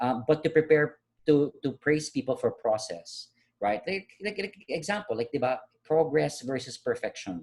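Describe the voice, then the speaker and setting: A man speaks in a fairly high, somewhat breathy voice. His intonation is lively. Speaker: life coach. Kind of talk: motivational talk. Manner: fast; animated.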